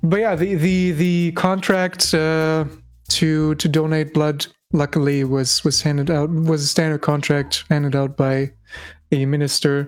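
A German accent at a fairly slow pace. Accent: German accent, noticeable. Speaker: tabletop role-playing game player. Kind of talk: casual chat, game session recap. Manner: halting, many fillers and repeated words.

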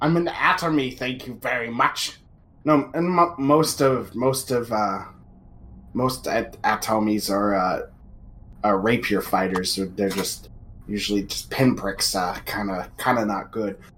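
A man speaks at a moderate pace in a raspy, put-on character voice with a medium pitch. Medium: actual play. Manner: haughty, sniffy, easily offended.

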